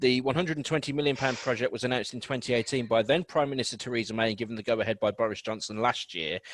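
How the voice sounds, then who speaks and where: A man with a Birmingham accent, medium pitch and ordinary pitch variation, at a very fast pace with hardly any pauses. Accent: Birmingham (Brummie). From Birmingham, England. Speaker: radio host. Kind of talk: radio news chat.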